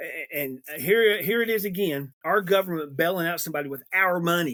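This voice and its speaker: Speaking at a moderate pace, a man with an American accent has a high-pitched, bright, sharp voice. His tone is animated and his intonation lively. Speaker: political podcaster. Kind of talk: political commentary monologue. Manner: halting.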